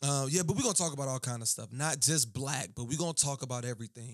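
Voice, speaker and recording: Fairly high-pitched for a man, his voice has a relaxed tone and an American accent. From US South, Baton Rouge, Louisiana. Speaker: podcast host and singer. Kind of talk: casual monologue. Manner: relaxed, conversational.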